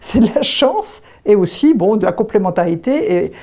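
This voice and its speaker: With a dark, mellow tone at medium pitch, a woman talks with lively intonation and vocal fry. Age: 70s. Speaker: association vice-president, retired childcare worker. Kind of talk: testimony. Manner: hesitant, with frequent fillers.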